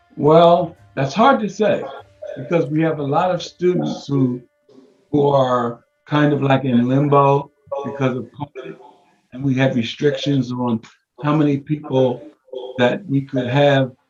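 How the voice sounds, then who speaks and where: A man with a fairly high pitch and an American accent, ordinary pitch variation and long, frequent pauses, over background music. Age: 80s+. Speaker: martial arts grandmaster. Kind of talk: interview.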